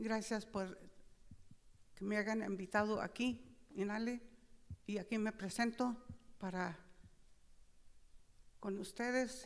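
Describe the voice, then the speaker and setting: This woman has a fairly high pitch. She talks very slowly. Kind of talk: speech at opening ceremony. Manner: halting.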